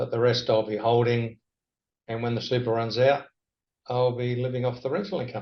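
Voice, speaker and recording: A man with an Australian accent, medium in pitch and somewhat breathy, fairly quick yet broken by long, frequent pauses, with fairly even intonation. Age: 60s. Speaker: property lecturer. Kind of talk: interview.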